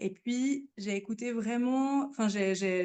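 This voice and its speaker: A woman at a very slow pace, fairly high in pitch, with lively intonation. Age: 20s. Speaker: podcast guest, new mother. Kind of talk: testimony. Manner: halting, many fillers and repetitions.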